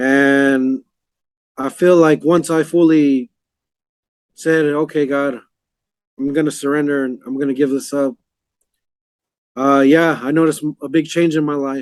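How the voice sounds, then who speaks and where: This man's voice sits fairly high, with monotone, flat intonation. He speaks at a fairly slow pace, broken by long, frequent pauses. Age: 30s. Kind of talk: interview testimony. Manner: halting.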